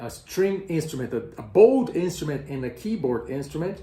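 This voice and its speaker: Vocal fry runs through a dark, mellow tone with lively intonation, in a Portuguese accent. There is audible room echo. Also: man. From Brazil. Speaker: music educator, tenor and conductor. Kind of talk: educational explainer. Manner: slow; halting, with repetitions and fillers.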